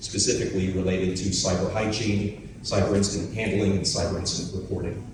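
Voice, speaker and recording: A man with a fairly low voice speaks at a moderate pace, with noticeable background noise and audible room echo. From US, Philadelphia. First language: German. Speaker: company representative pitching to partners. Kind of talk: pitch presentation.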